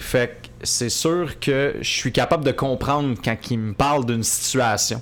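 A man at medium pitch with ordinary pitch variation, a fairly slow pace and big swings in loudness, over noticeable background noise. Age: 20s. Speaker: media personality. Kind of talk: casual chat. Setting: coworking space studio.

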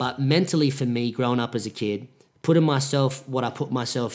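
A man speaks at medium pitch with fairly even intonation. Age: 20s. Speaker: podcaster. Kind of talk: solo monologue podcast. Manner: self-correcting, trying to avoid filler words.

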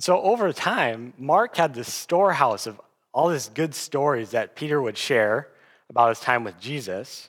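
Speaking with an American accent in a plain, everyday voice, a man uses a fairly high pitch, lively intonation and a moderate pace on a very clean recording with a silent background. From US Midwest (South Dakota). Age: 20s. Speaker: guest preacher. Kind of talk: sermon.

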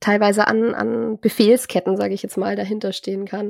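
A woman speaks at a medium pitch. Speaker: podcast host. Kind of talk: casual chat. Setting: video call. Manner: nervous when hosting.

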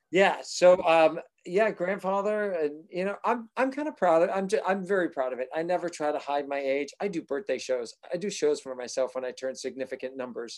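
With an American accent and a high pitch, a man speaks at a moderate pace with lively intonation and hardly any pauses. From Massachusetts. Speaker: actor and singer. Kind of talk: casual chat.

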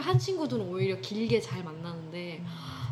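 A woman is speaking with audible room echo. Noticeable background noise is present too. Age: 20s. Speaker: music student, singer. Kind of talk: casual chat. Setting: recorded at home.

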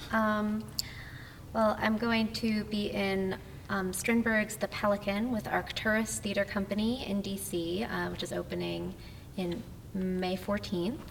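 A woman with an American accent speaks at a fairly slow pace and medium pitch with fairly even intonation, with audible room echo and noticeable background noise. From New Jersey. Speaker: actor and assistant director. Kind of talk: casual interview chat. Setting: recorded in a church hall venue.

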